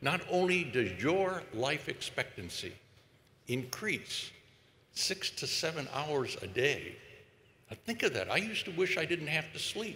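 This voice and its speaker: Fairly slow speech with an American accent, vocal fry, a bright, sharp tone and very wide pitch swings. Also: man, fairly high pitch for a man. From United States. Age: 80s+. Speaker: epidemiologist. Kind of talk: commencement speech. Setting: stage with audience.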